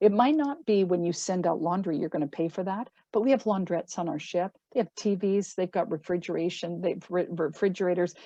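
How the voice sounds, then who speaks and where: A plain, everyday voice from a woman with a Canadian accent, medium in pitch with ordinary pitch variation, at a fairly quick pace. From Canada. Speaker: cruise line sales representative. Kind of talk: sales presentation.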